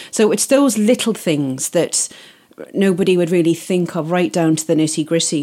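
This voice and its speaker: A woman's dark, mellow voice sits at a fairly low pitch and moves at a moderate pace. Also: lively intonation. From Isle of Man. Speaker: wedding planner. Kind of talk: interview.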